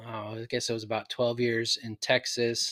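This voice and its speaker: A man with a West Coast accent speaks at a medium pitch on a very clean recording with a silent background. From Oregon, Portland area. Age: 40s. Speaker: hunter. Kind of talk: casual chat.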